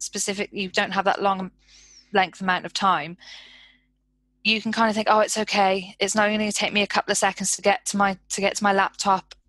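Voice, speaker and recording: Here a woman has an unremarkable speaking voice at a medium pitch. The sound is dry and close with no echo, over a quiet background. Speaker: researcher developer. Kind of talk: casual chat.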